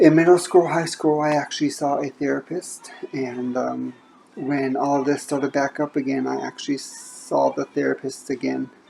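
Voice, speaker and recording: At a moderate pace, a woman speaks with an American accent over noticeable background noise. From Indiana. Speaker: book vlogger. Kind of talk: casual monologue. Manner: halting, stumbles over words.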